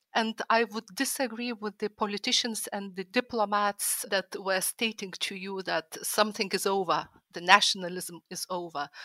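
A woman with a Lithuanian accent speaks at a moderate pace and medium pitch, her tone bright and sharp and her intonation fairly even. The sound is dry and close with no echo, on a very clean recording with a silent background. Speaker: historical fiction author and art historian. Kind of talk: panel discussion.

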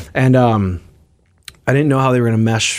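Speaking very fast, the man has an American accent. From US Midwest. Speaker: touring musician. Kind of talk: radio interview. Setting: studio. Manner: halting.

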